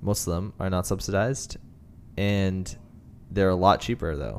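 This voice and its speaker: This man has a very deep, low voice and a Canadian accent. He speaks at a moderate pace. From Canada, Greater Toronto Area. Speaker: podcast host. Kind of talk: casual chat. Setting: studio.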